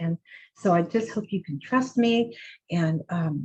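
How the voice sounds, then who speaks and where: A woman speaks in a somewhat breathy voice with ordinary pitch variation. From US West Coast, San Diego. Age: 60s. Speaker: author and juicing teacher. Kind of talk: lecture. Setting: video call. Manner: casual, conversational with fillers.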